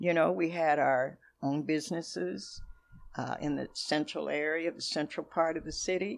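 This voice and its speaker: A woman with an American accent speaks at a moderate pace. The recording is very clean, with a silent background. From Seattle, Washington. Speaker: church historian and minister. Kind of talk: interview.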